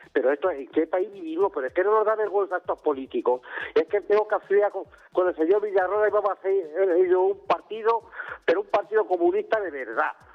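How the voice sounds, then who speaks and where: Noticeable background noise behind a high-pitched man at a fairly quick pace, with ordinary pitch variation. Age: 70s. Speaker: caller, retired worker. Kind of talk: call-in opinion. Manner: agitated, repetitive.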